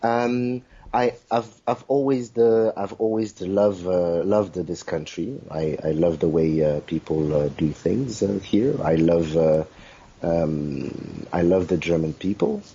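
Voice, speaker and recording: A man with a French accent speaks at a fairly slow pace in a very deep, low voice, his intonation lively. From South Africa (born in Congo). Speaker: kizomba dancer. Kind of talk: interview. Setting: video interview. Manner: halting, many fillers.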